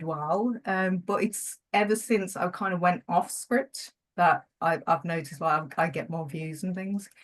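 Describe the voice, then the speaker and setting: A woman with a somewhat breathy, medium-pitched voice speaks at a moderate pace with ordinary pitch variation and hardly any pauses, over a quiet background. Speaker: marketing coach and YouTuber. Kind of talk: podcast interview. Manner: hesitant, many fillers and repetitions; stutters when nervous.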